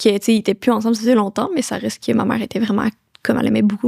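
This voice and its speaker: A woman speaks with a fairly high pitch and ordinary pitch variation. The recording is dry and close, with no echo. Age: 20s. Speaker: young entrepreneur. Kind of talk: casual interview chat. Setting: podcast recording. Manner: fast.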